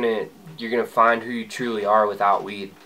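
A man's medium-pitched voice at a very fast pace. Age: 20s. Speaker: vlogger. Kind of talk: personal vlog monologue. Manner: casual, conversational. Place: home room. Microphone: phone near.

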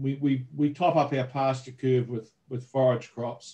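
A man talks in a New Zealand accent. His voice is somewhat breathy, over a quiet background. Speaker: agricultural research manager. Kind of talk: webinar presentation; webinar presentation and Q&A answers. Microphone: video call.

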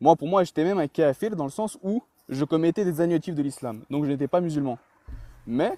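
A man's fairly high voice in a dark, mellow tone, at a fairly quick pace, with a dry sound and no echo. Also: ordinary pitch variation. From France, raised from age 3 (born in Chechnya). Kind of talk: heated debate. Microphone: video call.

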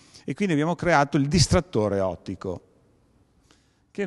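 Here is a man speaking. His pitch is fairly high. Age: 60s. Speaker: perception designer and event organizer. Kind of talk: lecture. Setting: museum evening talk with audience. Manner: halting.

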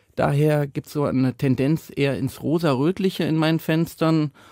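A man with a dark, mellow tone and fairly high pitch speaks at a moderate pace with ordinary pitch variation, in a dry, close sound with no echo on a very clean recording with a silent background. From Rhineland, Cologne. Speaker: painter and artist. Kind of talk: interview.

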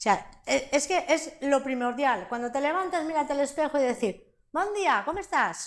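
The speaker keeps a moderate pace with lively intonation. The background is quiet. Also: woman. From Valencia region, Spain (Sueca). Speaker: interviewee sharing life story. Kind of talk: interview testimony. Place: studio. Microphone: lapel.

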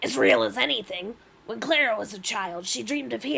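What you hear is an unforced reading voice.

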